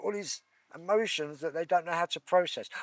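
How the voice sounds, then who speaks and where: This man has a high pitch and an English accent, with ordinary pitch variation. The sound is dry and close, with no echo. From England. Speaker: Reiki practitioner. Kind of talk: interview conversation.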